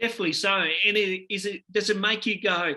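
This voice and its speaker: Using a raised, projected voice, a man with an Australian accent speaks at a fairly quick pace with fairly even intonation. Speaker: basketball podcast host. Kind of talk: interview. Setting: video call. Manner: halting.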